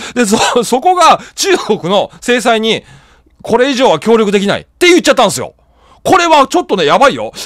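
A man talks at a fairly quick pace in an extremely high pitch, with very wide pitch swings. His tone is animated. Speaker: political news YouTuber. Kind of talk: solo news commentary. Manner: casual, rambling.

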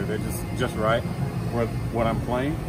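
A man talks over loud background noise. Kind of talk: gear rundown talk. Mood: relaxed, upbeat. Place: stage. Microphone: camera far.

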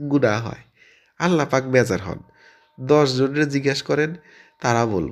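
The clip features an unforced reading voice. It is used for reading aloud.

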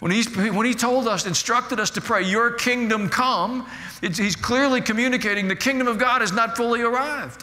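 An extremely high-pitched man's raised, projected voice with an American accent, fairly quick pace, very even loudness and fairly even intonation. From United States. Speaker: pastor. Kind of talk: sermon. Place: church. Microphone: headset.

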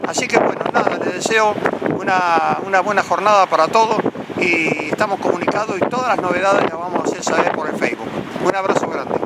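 Against noticeable background noise, a man with an Argentine accent and a high pitch talks at a fairly quick pace, with ordinary pitch variation. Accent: Rioplatense Argentine Spanish. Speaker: UFO investigator, video channel host. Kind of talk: outdoor vlog narration to camera. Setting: outdoors on a cliff by the sea.

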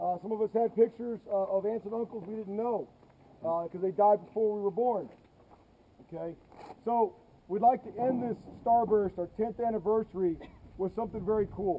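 A man's high-pitched voice at a fairly quick pace, fairly even in intonation, over light background noise. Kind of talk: briefing speech to a crowd. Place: street. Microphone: camera far.

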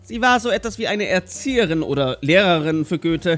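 Someone talks at a fairly quick pace with music in the background. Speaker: history explainer narrator. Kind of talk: animated history explainer narration.

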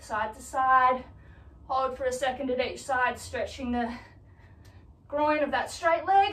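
A woman talks at a high pitch with ordinary pitch variation and big swings in loudness. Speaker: fitness instructor. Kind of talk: workout instruction. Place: home room. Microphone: camera far.

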